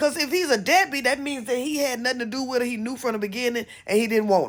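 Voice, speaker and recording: A woman speaks at a fairly quick pace in an animated tone. Her fairly high voice carries vocal fry. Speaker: commentary vlogger. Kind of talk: casual commentary.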